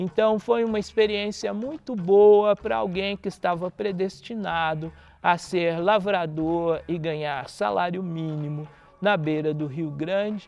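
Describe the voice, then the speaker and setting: The speaker is a man with a high pitch. He goes at a fairly slow pace. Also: ordinary pitch variation. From Brazil, southern Minas Gerais. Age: 60s. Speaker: musician and researcher. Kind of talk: interview monologue.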